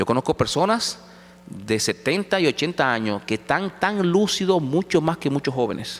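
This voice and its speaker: Vocal fry runs through this man's voice as his pitch swings very widely. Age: 50s. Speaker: pastor. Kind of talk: sermon. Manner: halting.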